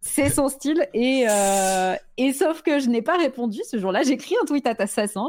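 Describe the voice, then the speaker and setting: A woman's high voice with very wide pitch swings. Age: 40s. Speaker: Twitch streamer. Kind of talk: casual chat.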